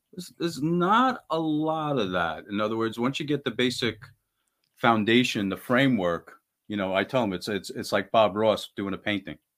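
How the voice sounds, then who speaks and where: On a very clean recording with a silent background, a man has an unremarkable speaking voice, a medium pitch, lively intonation and a moderate pace. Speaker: band guitarist. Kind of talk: casual interview chat.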